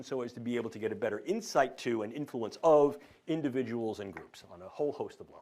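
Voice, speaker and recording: A man speaks at a very fast pace. He has a New York accent. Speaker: professor. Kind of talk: lecture.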